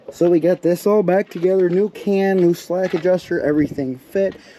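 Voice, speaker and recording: A man at a moderate pace, with noticeable noise in the background. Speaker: truck restoration YouTuber. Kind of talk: casual vlog talk.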